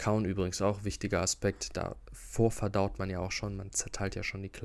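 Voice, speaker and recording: A man talks in a fairly low pitch at a moderate pace. His intonation stays fairly even. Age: 20s. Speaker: health podcaster. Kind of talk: solo educational talk. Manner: casual, with fillers and repetitions.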